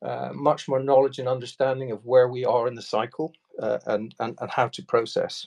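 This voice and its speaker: This man has an Irish accent, a medium pitch and fairly even intonation. He talks at a moderate pace, his loudness swinging widely. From Ireland. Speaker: enterprise sales executive. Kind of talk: Q&A session on a video call. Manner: hesitant, many fillers.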